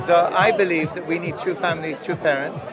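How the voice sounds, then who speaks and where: Crowd noise and audible room echo surround a man speaking with a British accent. His pitch is high, his intonation fairly even and his pace fairly quick. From England, Iranian family. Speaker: religious movement member. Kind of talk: street debate.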